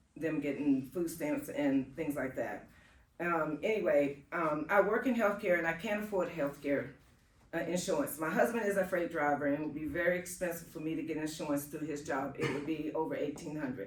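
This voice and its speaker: Audible room echo surrounds a woman whose very deep, low voice moves at a moderate pace with ordinary pitch variation. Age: 60s. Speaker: home care worker. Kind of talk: testimony. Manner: halting.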